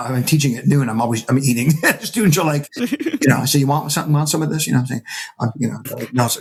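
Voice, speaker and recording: With an American accent, a man speaks at a very fast pace in an animated, somewhat breathy voice of medium pitch. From upstate New York (Syracuse). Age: 60s. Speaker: percussionist and music professor. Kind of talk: casual interview conversation. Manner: animated storytelling with hesitations.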